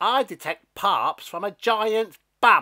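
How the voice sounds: Using a put-on character voice, a man talks at a slow pace with high pitch and a bright, sharp tone. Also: lively intonation.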